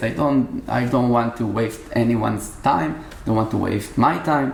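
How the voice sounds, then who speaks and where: The voice has ordinary pitch variation and is heard over noticeable background noise. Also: man. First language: Hebrew. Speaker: musician. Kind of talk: casual interview. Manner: halting.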